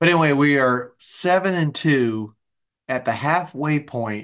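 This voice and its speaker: Over a quiet background, an ordinary speaking voice moves at a moderate pace with ordinary pitch variation. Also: man. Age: 30s. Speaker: sports podcast co-host. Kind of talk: casual chat.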